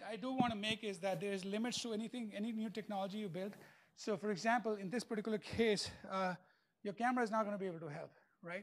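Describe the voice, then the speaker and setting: Speaking at a very fast pace, a man uses a high pitch. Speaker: keynote speaker, industry researcher. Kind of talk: conference keynote talk. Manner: hesitant, many fillers.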